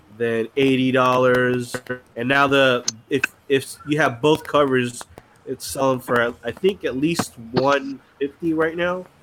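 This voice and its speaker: Noticeable background noise can be heard. Over it, the man speaks at a fairly slow pace. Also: medium pitch for a man, fairly even intonation. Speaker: comic book collector guest.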